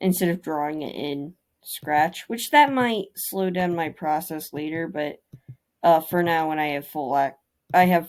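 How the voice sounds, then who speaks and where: A woman speaks at a fairly slow pace with a very deep, low pitch. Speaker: indie game developer. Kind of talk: casual devlog narration over screen footage. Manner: stuttering, halting.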